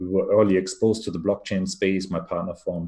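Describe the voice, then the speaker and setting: A man with a German accent speaks at a fairly quick pace with a very deep, low pitch and a dark, mellow tone, on a very clean recording with a silent background. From Germany. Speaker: venture capital investor. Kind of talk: interview.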